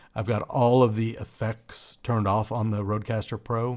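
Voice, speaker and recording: The recording of this man speaking is very clean, and the background is silent. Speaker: tech reviewer. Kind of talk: product review. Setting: untreated home room. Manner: casual, halting with fillers.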